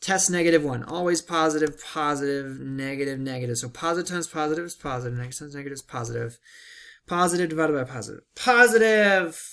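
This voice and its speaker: A man speaks very fast at a fairly high pitch, with a bright, sharp tone and ordinary pitch variation. His loudness swings widely on a very clean recording with a silent background. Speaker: math teacher. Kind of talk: tutorial.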